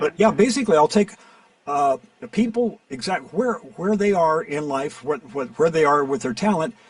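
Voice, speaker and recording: At a moderate pace, a man speaks with high pitch and very wide pitch swings. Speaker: voiceover actor and coach. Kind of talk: interview answer.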